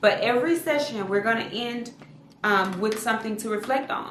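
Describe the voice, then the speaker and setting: A woman with a fairly high pitch talks at a fairly quick pace, with audible room echo and noticeable background noise. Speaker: therapist and online educator for clinicians. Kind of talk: casual talk to camera, video podcast. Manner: fast talker.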